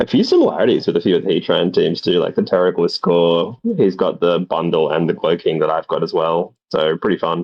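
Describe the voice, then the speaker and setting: Talking at a fairly quick pace, a man barely pauses at all. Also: very even loudness. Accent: Australian. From Australia. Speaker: guest commentator, player. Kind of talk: casual commentary chat.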